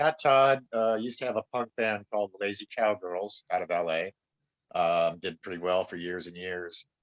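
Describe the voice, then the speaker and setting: A man with an unremarkable speaking voice uses lively intonation at a moderate pace, the sound dry and close with no echo. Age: 60s. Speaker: actor and musician. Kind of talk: casual chat.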